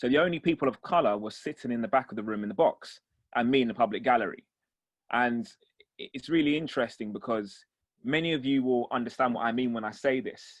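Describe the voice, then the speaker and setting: A man rattles along at a very fast pace with ordinary pitch variation, the background quiet. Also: medium pitch for a man. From East London, England. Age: 30s. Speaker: defence barrister. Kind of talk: talk with Q&A for young people.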